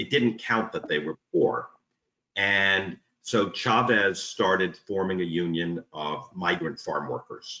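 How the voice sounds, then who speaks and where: A man talks with a New York accent. Room echo is audible. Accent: New York American. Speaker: union organiser. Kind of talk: interview conversation. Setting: video call. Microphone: video call.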